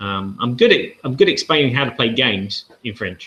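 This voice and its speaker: Here a man talks at a moderate pace. His tone is bright and sharp. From southern England. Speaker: board game channel host. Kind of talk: live-stream casual talk. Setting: live video hangout. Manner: rambling with hesitations.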